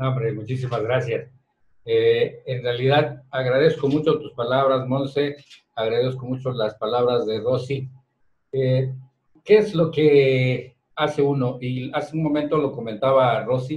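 A man speaks at a medium pitch with a somewhat breathy voice and fairly even intonation, and the room echo is audible. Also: fairly slow pace. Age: 60s. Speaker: head of the media company, boss of the hosts; radio show guest or host. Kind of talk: casual radio chat. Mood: grateful, reflective. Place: studio.

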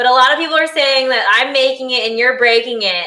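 Bubbly and enthusiastic, a woman speaks with a high pitch. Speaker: cooking channel host. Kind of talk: live-streamed cooking show, casual chat. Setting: live stream. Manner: bubbly, enthusiastic.

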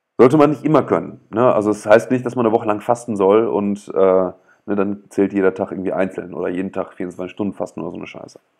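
Very fast speech with big swings in loudness and ordinary pitch variation is heard against a quiet background. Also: man, fairly low pitch for a man. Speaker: author reading own book on livestream. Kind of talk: reading aloud with commentary. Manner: hesitant, many fillers. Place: home room. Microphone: earbuds.

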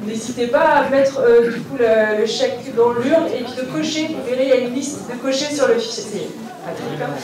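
The speaker keeps a moderate pace with ordinary pitch variation. Noticeable background noise and audible room echo come through. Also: woman, high pitch for a woman. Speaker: family reunion organizer. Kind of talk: welcome speech to gathered relatives. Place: hall.

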